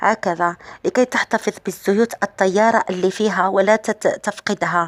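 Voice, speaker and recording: Her pitch shows ordinary variation as a woman talks. The sound stays dry and close, without any echo. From Algeria, Sétif. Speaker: beauty and hair-care vlogger. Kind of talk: tutorial. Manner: halting, many fillers and restarts.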